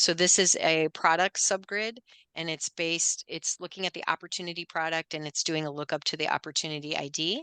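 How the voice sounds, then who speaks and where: Against a quiet background, a woman with a fairly low pitch and a bright, sharp tone speaks at a fairly quick pace with fairly even intonation, the sound dry and close with no echo. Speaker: software demo presenter. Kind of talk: tutorial. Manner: fast.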